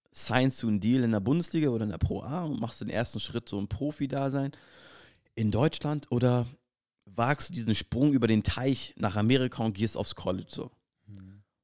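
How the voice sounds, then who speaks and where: A man with an ordinary speaking voice talks at a moderate pace. His pitch is medium, with ordinary pitch variation. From Berlin, Germany. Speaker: professional basketball player, podcast co-host. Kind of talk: casual chat.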